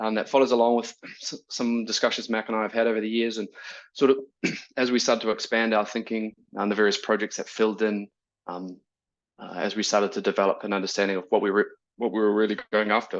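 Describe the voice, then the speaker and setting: A man with a fairly low pitch talks at a very fast pace in a monotone, flat intonation against a quiet background. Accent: New Zealand. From New Zealand, rural Waikato. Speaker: neuroscience researcher. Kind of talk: academic talk. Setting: video call. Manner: casual, hesitant with fillers.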